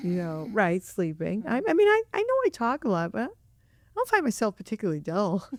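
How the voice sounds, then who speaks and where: Mumbling at a fairly quick pace, a woman is heard in a dry, close sound with no echo. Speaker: podcast co-host. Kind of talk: casual chat. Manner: talkative, mumbles.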